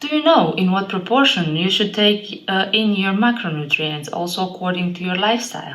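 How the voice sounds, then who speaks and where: In an Eastern European accent, a woman of medium pitch talks at a fairly quick pace with lively intonation and hardly any pauses, against noticeable background noise. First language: an Eastern European language. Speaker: fitness trainer. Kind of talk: vlog monologue.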